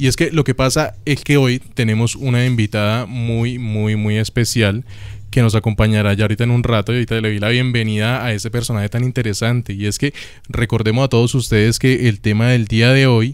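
A man speaks at a moderate pace. The background is quiet and the sound is dry with no echo. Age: 20s. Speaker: student radio host. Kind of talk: casual chat. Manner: animated. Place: studio.

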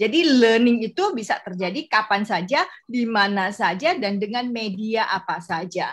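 A woman speaks with lively intonation and a somewhat breathy sound, hardly pausing at all. The background is quiet. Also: fairly high pitch for a woman, moderate pace. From West Kalimantan, Pontianak; West Kalimantan, Indonesia. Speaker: corporate university consultant; workshop trainer. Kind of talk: workshop presentation. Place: home room. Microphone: webcam.

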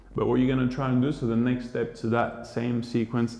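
Audible room echo surrounds a man speaking in a calm, soothing tone. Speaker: yoga teacher. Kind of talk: guided yoga class instruction, breath-paced cues. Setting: online video class. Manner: calm, slow, soothing, instructive; rhythmic, paced with breathing, repeating counts. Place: home room.

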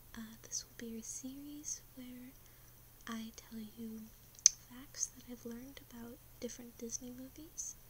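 A soft-spoken woman whispering at a fairly slow pace over noticeable background noise. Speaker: ASMR creator. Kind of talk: ASMR fact-telling. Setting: ASMR recording with gum chewing and tapping sounds. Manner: whispered, soft. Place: home room. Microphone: webcam.

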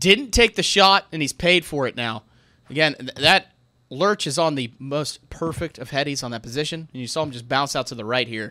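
The voice is bright and sharp, with an animated, relaxed tone and big swings in loudness against a quiet background. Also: man. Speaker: gaming commentator and streamer. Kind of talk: live sports-style shoutcast commentary of a game. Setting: streamed gameplay commentary recording. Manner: animated, quick play-by-play delivery with casual banter; laughs often, relaxed and jokey. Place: home room.

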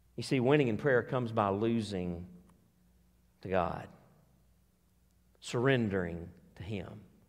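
Speaking slowly, a man uses a fairly low pitch with ordinary pitch variation.

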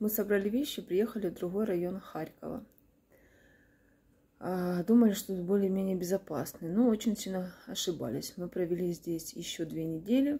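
A woman speaks at a moderate pace with ordinary pitch variation. Her tone is dark and mellow, and somewhat breathy. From Kharkiv, Ukraine; Ukraine. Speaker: war-displaced mother. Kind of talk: testimony; personal testimony appeal. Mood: sad, subdued. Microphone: phone near.

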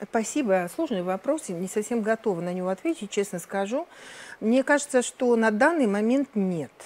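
At a moderate pace, a woman talks with lively intonation. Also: fairly high pitch for a woman. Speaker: professor. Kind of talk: conference talk. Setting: stage with audience. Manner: formal. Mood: thoughtful, measured. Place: studio. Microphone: lapel.

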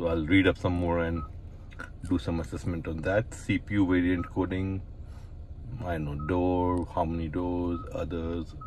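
A man's low pitch with little pitch movement, at a fairly slow pace

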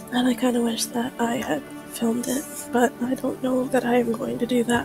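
Soft-spoken and gentle in tone, a woman speaks at a moderate pace in a high voice with monotone, flat intonation. Music plays in the background. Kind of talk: casual talk to camera, gaming ramble. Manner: soft-spoken, gentle.

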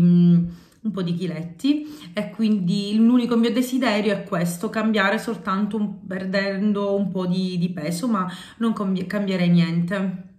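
A woman talks at a very slow pace with fairly even intonation. Audible room echo surrounds her voice. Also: quiet background. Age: 30s. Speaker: YouTuber, home and cleaning vlogger; home vlogger. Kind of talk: casual vlog, answering tag questions. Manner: hesitant, many fillers. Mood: warm, cheerful. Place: home room. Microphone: phone near.

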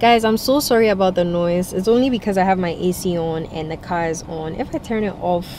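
Over light background noise, a woman speaks at a moderate pace with lively intonation in a dry sound with no echo. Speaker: food vlogger. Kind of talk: casual vlog chat. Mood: cheerful, full after meal. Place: car. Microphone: phone near.

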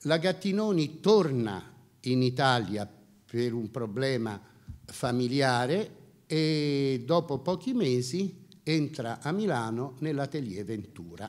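Against a quiet background, a man with a medium pitch speaks at a very slow pace with lively intonation. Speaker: fashion house executive; speaker. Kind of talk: lecture. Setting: seminar room with audience. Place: hall. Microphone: handheld.

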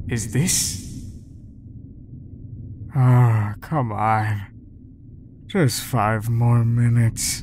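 A put-on character voice with a low pitch speaks at a very slow pace. Long, frequent pauses break it up, and background noise is clearly heard. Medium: dub.

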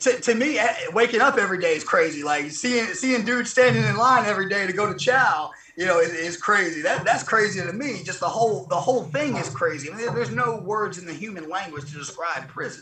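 A man with a Southern US accent uses a raised, projected voice at a high pitch, talking at a fairly quick pace. His pitch swings very widely, and audible room echo surrounds him. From southern Mississippi, rural. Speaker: former federal prisoner. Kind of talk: interview. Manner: halting. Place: garden. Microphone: video call.

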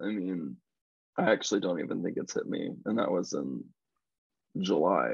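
A man with a Midwestern American accent talks at a moderate pace, stopping for long, frequent pauses. The sound is dry with no echo, and the background is quiet. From Missouri, USA. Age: 20s. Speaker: pop singer-songwriter. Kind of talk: interview answer. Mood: reflective, grateful. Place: home room. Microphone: video call.

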